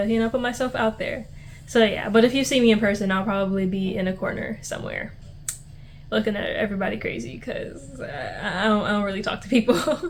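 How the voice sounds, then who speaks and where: Talking at a fairly quick pace, a woman uses a plain, everyday voice with medium pitch and ordinary pitch variation. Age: 20s. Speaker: vlogger. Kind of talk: casual chat. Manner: casual, filler-heavy.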